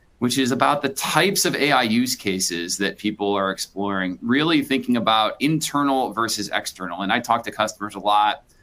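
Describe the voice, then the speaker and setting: Speaking with an American accent, a man uses lively intonation at a medium pitch with a bright, sharp tone. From Chicago. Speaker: business executive. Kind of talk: webinar presentation. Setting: live webinar. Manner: animated.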